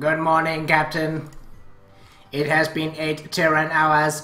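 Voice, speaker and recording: In a put-on robotic character voice, the speaker talks at a middle pitch in a flat monotone and a fairly slow pace, with faint music in the background. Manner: formal, mechanical.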